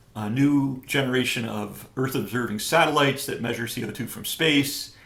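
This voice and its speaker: A man with an American accent speaks in fairly even intonation. The room echo is audible. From upstate New York. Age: 60s. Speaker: professor. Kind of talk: interview. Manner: hesitant, many fillers.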